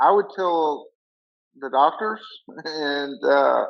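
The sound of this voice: A man talks at a slow pace and a fairly high pitch, with vocal fry and ordinary pitch variation.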